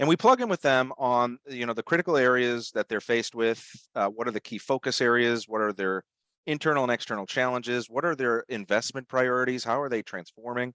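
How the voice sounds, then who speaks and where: A man with a Boston accent speaks at a fairly quick pace and medium pitch, with ordinary pitch variation and a dry, close sound with no echo. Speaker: webinar host. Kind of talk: webinar presentation. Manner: halting, many fillers.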